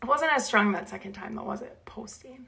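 A woman with a slight Minnesota accent, an animated tone and lively intonation. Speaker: Bible teacher. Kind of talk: casual live stream chat. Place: home room. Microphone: phone near.

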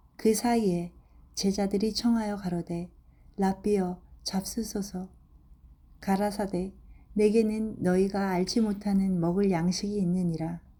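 A woman's somewhat breathy, medium-pitched voice with a dark, mellow tone, monotone and flat in intonation, at a fairly slow pace with long, frequent pauses. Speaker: Bible reader. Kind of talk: reading aloud.

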